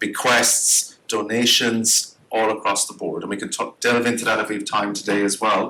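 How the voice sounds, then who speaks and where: Noticeable background noise accompanies this recording. The man's voice sits at a medium pitch. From Ireland. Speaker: grants consultant and workshop presenter. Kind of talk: workshop presentation. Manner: fast; animated.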